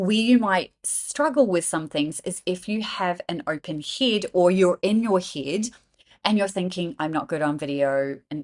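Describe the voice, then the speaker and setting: A woman talks at a moderate pace in an animated, passionate tone, her pitch medium. The sound is dry and close with no echo, and the background is quiet. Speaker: business coach. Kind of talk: tutorial.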